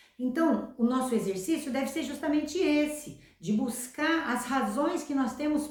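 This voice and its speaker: In a room with audible echo, a woman speaks at a fairly slow pace and sounds somewhat breathy. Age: 60s. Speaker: self-help youtuber. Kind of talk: motivational talk.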